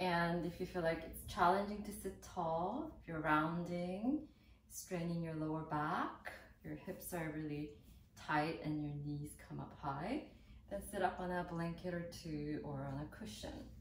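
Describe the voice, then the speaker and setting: A woman speaks at a fairly slow pace with a warm tone and a fairly low pitch. Her intonation stays fairly even over light background noise and audible room echo. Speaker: yoga teacher. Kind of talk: guided seated yoga and meditation-prep instruction, calm cueing. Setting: video tutorial. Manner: calm, slow, soothing, gentle; instructional, warm and encouraging. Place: home room.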